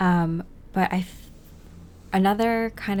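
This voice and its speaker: A woman is soft-spoken. Her intonation stays fairly even. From New England. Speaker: spiritual content creator. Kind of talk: reflective personal monologue. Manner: slow.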